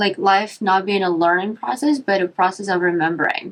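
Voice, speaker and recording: This woman has a non-native accent and a medium pitch. Her intonation is lively. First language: not English. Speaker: yoga teacher and podcast host. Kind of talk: casual chat. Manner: animated.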